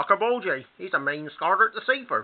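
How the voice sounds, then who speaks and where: A man puts on a character voice, pitched high and shrill. He rattles along at a fairly quick pace. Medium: read story. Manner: shrill, anxious.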